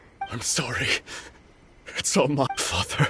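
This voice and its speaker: Using a put-on character voice, a man speaks at a moderate pace with a medium pitch. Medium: machinima.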